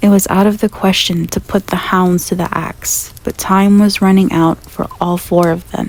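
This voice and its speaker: Over noticeable background noise, a soft-spoken woman talks at medium pitch with monotone, flat intonation. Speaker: ASMR roleplay performer. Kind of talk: bedtime story reading.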